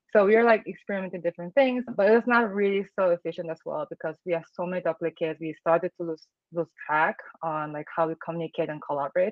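A woman with a non-native accent talks at a very fast pace in a fairly low pitch, with ordinary pitch variation and big swings in loudness. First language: not English. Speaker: product designer. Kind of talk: casual interview.

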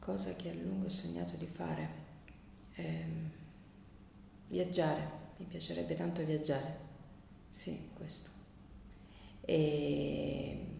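Very slow speech from a woman, noticeable background noise and audible room echo around her. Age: 50s. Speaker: pattern maker and biodanza teacher. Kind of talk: interview.

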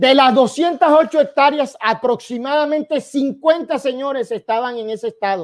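Speaking fairly slowly with hardly any pauses, a man uses an extremely high pitch. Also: ordinary pitch variation. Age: 40s. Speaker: cattle rancher. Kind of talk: presentation.

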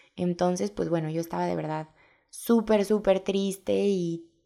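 On a very clean recording with a silent background, a woman with an unremarkable speaking voice talks at a moderate pace and a fairly low pitch. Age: 20s. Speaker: podcast host and blogger. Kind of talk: casual monologue.

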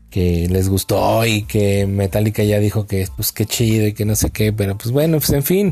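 A man's somewhat breathy voice, dark and mellow in tone, holds very even loudness and ordinary pitch variation at a moderate pace with hardly any pauses. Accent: Mexican. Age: 30s. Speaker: podcast host. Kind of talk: casual monologue.

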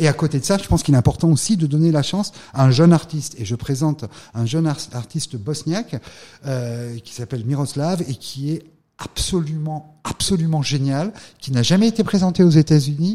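Pitched fairly high for a man, his somewhat breathy voice has a dark, mellow tone and ordinary pitch variation. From France, Drôme (Valence). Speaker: art gallery owner and former financier. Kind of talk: interview.

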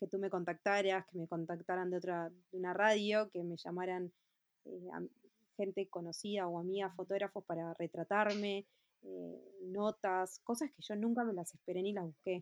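A woman speaks in a Uruguayan accent at a moderate pace, her medium-pitched voice monotone and flat. The sound is dry and close with no echo. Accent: Uruguayan Rioplatense Spanish. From Uruguay, Montevideo. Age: 30s. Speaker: fashion designer. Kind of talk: interview. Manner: halting, many fillers and repetitions.

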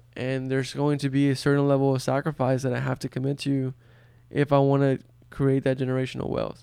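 In a dark, mellow tone, a man rattles along at a very fast pace with monotone, flat intonation. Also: medium pitch for a man. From Brownsville, Texas, US. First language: Spanish. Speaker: podcast co-host. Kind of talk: casual conversation.

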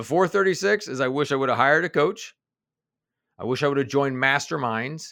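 Speaking with a Midwestern accent, a man talks at a fairly quick pace in a fairly high pitch. His tone is bright and sharp, and the recording is very clean with a silent background. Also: ordinary pitch variation. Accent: General American (Midwest). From US Midwest (Kansas City). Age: 40s. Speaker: executive coach and author. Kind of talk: interview conversation.

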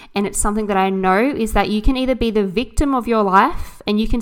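On a very clean recording with a silent background, a woman with an Australian accent talks at a very fast pace, her fairly high pitch showing ordinary variation. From Australia, New South Wales south coast. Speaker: podcast host, mindset coach. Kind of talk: personal monologue.

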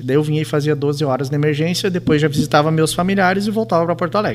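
A man at a very fast pace with ordinary pitch variation, amid noticeable background noise. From Rio Grande do Sul, Brazil (Entre-Ijuís). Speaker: physician and hospital president. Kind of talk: casual radio interview.

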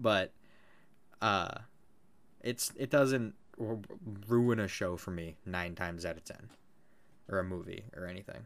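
With an animated tone, a man speaks at a fairly slow pace and fairly low pitch, showing ordinary pitch variation, big swings in loudness, and long, frequent pauses. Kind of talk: casual chat. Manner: joking, profane, animated.

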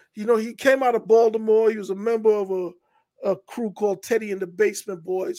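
A man with a New York accent talks at a fairly quick clip with hardly any pauses, using a high pitch, fairly even intonation and a dark, mellow tone. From New York, Hollis, Queens. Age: 50s. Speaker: writer and filmmaker. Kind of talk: casual interview.

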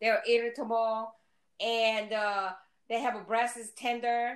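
This woman has a fairly high pitch and an ordinary speaking voice. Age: 60s. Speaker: mother of the hosts. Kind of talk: casual chat.

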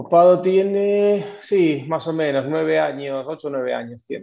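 A man speaks at a fairly slow pace with ordinary pitch variation. His voice is fairly high in pitch, with a dark, mellow tone. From Argentina, Buenos Aires province (Necochea). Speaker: tech company co-founder. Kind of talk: interview.

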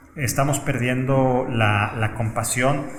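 The man's speech is very slow. An echo from the room can be heard. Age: 40s. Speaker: lawyer and HR executive. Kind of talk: interview conversation. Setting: in-person recording.

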